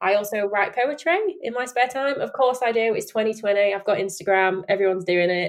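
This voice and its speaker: A woman speaks at a fairly quick pace with a Yorkshire accent, her pitch fairly high and its variation ordinary. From Sheffield, Yorkshire. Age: 20s. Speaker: podcast host. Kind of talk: casual chat.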